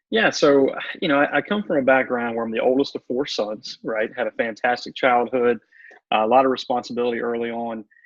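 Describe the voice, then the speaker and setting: Here a man speaks at a medium pitch, in a Southern US accent. His pitch variation is ordinary. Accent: Southern drawl. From US South. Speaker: motivational speaker and coach. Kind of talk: radio interview. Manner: calm, meditative.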